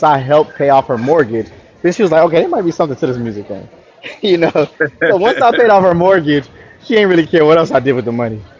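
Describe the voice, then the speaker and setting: Very fast, lively-intoned speech over noticeable background noise. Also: man. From Florida, US South. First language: French. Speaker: R&B singer-songwriter. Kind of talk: interview. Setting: live online interview.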